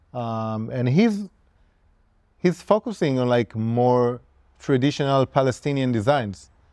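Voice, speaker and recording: Dark, mellow tones from a man at a medium pitch, fairly slow and lively in intonation, with long, frequent pauses. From Israel. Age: 30s. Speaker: tattoo artist. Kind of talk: casual interview.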